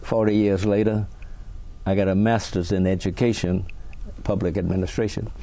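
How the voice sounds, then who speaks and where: Against audible room echo, a man with an American accent and a fairly low pitch speaks at a moderate pace with monotone, flat intonation, very even loudness and long, frequent pauses. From Virginia, US South. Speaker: retired teacher and school administrator. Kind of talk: oral history interview.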